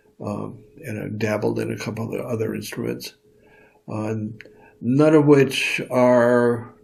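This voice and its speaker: A man's medium-pitched voice comes through with audible room echo and big swings in loudness. His intonation is monotone and flat, his pace fairly slow. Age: 70s. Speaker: retired lawyer, elder. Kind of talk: interview reflection. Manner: halting, many fillers.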